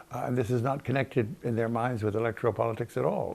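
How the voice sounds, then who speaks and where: A man speaks at a very fast pace. His voice has vocal fry. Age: 80s+. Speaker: historian. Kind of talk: interview answer.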